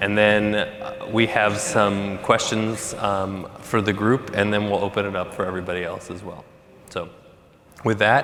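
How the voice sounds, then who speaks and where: Over noticeable background noise and audible room echo, a man speaks slowly-ish in a fairly low pitch with monotone, flat intonation. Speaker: panel moderator. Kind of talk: panel moderation. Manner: loud.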